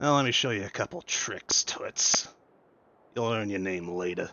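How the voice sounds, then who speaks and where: In a raspy put-on character voice, a man talks at a fairly low pitch. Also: moderate pace. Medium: actual play. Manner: blunt, folksy.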